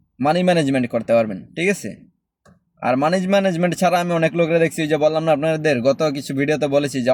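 A man's normal speaking voice, fairly high in pitch, with ordinary pitch variation. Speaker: expat vlogger. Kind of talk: casual advice monologue.

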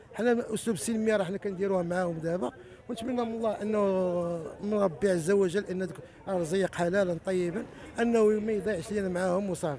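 Over light background noise, a man speaks at a high pitch and a fairly quick pace. His pitch variation is ordinary, and the sound is dry with no echo. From Morocco. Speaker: protester, emigrant property buyer. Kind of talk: street interview testimony. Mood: aggrieved, demanding justice. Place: street. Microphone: handheld.

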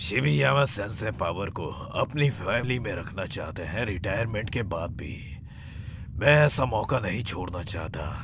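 Loud background noise sits under speech at a fairly slow pace. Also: man, fairly low pitch for a man. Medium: fan dub. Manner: harsh, scolding, authoritarian.

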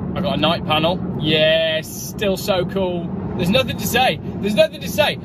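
Loud background noise fills a dry, echo-free recording of a man speaking at a fairly quick pace with ordinary pitch variation. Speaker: car reviewer. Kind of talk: casual vlog chat. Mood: cheerful, joking. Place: car. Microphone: phone near.

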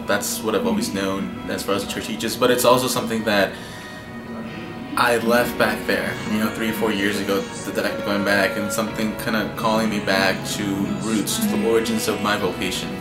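A man talking at a fairly quick pace over clear music in the background. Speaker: priest going on a mission trip. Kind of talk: interview answer. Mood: calm, reflective. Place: home room.

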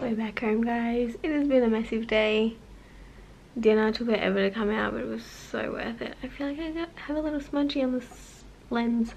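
At a moderate speed, a woman talks. Her pitch varies in an ordinary way over light background noise. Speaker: vlogger. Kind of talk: casual vlog chat. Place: home room. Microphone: phone near.

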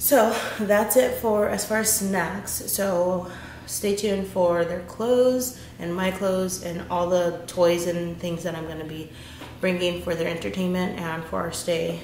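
Audible room echo and light background noise surround a woman speaking with a fairly low pitch. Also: fairly even intonation, fairly slow pace. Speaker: mom vlogger. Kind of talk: casual vlog chat. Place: kitchen. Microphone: camera far.

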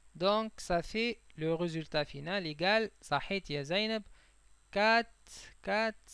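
With a Tunisian accent, a man talks at a very slow pace with a high pitch, ordinary pitch variation, and long, frequent pauses. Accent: Tunisian Arabic with French code-switching. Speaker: chemistry teacher. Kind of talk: lecture.

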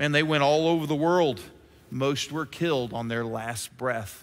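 Speaking at a fairly slow pace, a man uses an animated, dramatic tone. His pitch is fairly high, with ordinary variation. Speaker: preacher. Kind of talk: sermon. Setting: church. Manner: animated, rhetorical, urgent pulpit delivery with dramatic pauses. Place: church.

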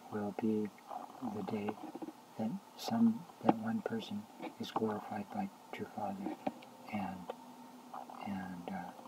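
A man speaks at a fairly slow pace against noticeable background noise. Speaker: religious video blogger. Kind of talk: casual vlog monologue on religious views. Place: home room. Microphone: webcam.

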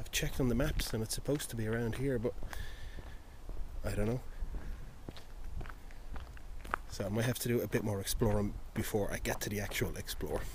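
Man's voice at a fairly quick clip, fairly even in intonation, dry with no echo, over noticeable background noise. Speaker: urban explorer vlogger. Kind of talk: casual vlog chat. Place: open country. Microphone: phone near.

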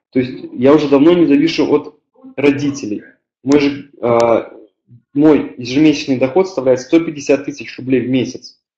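Recorded with audible room echo, a man with a dark, mellow tone and fairly high pitch speaks at a moderate pace with fairly even intonation and long, frequent pauses. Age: 20s. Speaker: network marketing team leader; webinar presenter. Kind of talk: webinar presentation. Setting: online webinar with live chat. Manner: hesitant, many filler sounds. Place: home room. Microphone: webcam.

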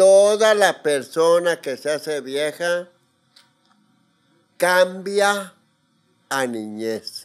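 Against a quiet background, a man with a high voice and lively intonation speaks at a very slow pace with long, frequent pauses. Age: 80s+. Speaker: interviewee. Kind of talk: casual chat. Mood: reflective, candid. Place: studio. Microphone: studio mic.

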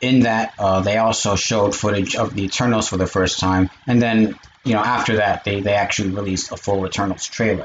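Light background noise sits behind a man talking at a moderate pace. His intonation is fairly even. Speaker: streamer. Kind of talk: casual vlog chat. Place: home room. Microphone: webcam.

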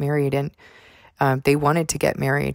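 Soft-spoken talk comes through a very clean recording with a silent background and a dry, close sound with no echo. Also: woman. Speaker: faith vlogger. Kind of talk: testimony.

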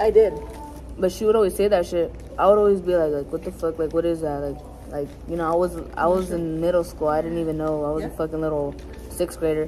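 The speech moves at a very fast pace with fairly even intonation, and light background noise is heard. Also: woman, fairly low pitch for a woman. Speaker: vlogger. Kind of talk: casual storytelling chat. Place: cafe. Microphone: phone near.

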